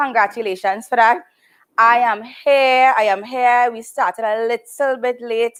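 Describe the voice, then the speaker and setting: Loud speech comes at a fairly slow pace in a very clean recording with a silent background. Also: woman. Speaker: wellness show host. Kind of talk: live stream chat. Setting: live video stream.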